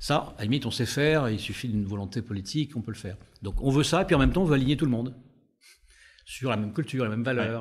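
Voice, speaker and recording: A man talks at a very fast pace with medium pitch and long, frequent pauses. His voice is somewhat breathy. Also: ordinary pitch variation. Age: 60s. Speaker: business school professor and former HR director. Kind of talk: interview. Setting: on a campus in Paris La Défense.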